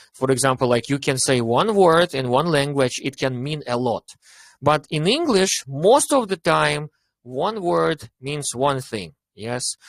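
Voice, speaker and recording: This man has a Russian accent, a fairly high pitch and lively intonation, and he speaks at a fairly slow pace. The sound is dry and close with no echo. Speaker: English teacher. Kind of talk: online club discussion. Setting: online meeting. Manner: animated.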